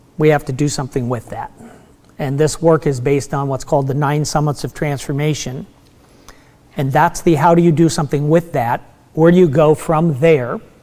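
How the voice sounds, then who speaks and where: There is noticeable background noise behind this man. His pitch is fairly high, and his intonation is fairly even. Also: moderate pace. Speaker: meditation teacher. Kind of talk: lecture.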